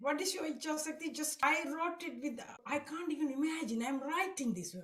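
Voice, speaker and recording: Amid audible room echo, a woman with a high pitch talks fairly quickly with lively intonation. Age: 60s. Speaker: devotee sharing testimony. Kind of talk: testimony. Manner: halting.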